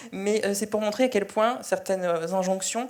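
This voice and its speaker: Noticeable background noise accompanies a woman whose speech has ordinary pitch variation. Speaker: journalist. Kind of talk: panel discussion. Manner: halting.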